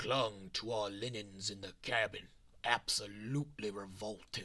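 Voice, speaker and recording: A man uses a put-on character voice with a fairly low pitch. His delivery is raspy. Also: moderate pace. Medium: game stream. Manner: eerie, ominous.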